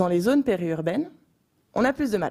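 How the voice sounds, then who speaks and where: Recorded very cleanly against a silent background, a woman speaks with lively intonation and a dark, mellow tone. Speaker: youth association president. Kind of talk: panel discussion. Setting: stage with audience.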